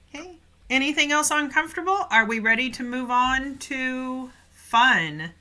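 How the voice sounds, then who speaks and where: A woman's high-pitched voice is raised and projected, moving at a moderate pace with lively intonation and big swings in loudness. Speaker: English teacher. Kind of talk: live online class. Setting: livestream.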